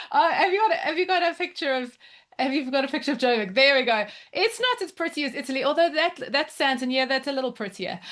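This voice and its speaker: In a South African accent, a woman speaks at a very fast pace with a high pitch and an animated tone. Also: lively intonation. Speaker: education mentor. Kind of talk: presentation at online open house.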